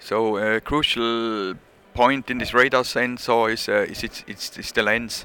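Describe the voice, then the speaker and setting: A man's medium-pitched voice with a bright, sharp tone and a Swiss accent, monotone and flat in intonation, at a fairly slow pace with big swings in loudness. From Switzerland. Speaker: measuring equipment company representative. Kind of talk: casual interview. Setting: conference show floor.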